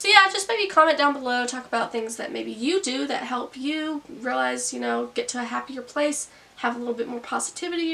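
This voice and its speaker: Through noticeable background noise, a woman speaks at a moderate pace in a raised, projected, high-pitched voice. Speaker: YouTube vlogger. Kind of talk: casual vlog monologue. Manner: casual, conversational.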